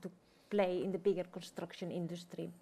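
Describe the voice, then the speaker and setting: The tone is dark and mellow. The speech carries a Spanish accent. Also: woman. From Spain. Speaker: head of architecture department. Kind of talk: panel presentation. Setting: event room with live audience and online viewers.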